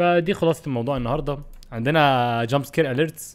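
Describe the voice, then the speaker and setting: With ordinary pitch variation, the talking proceeds at a fairly quick pace. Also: man. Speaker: game streamer. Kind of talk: casual livestream chat. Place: home room. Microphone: studio mic.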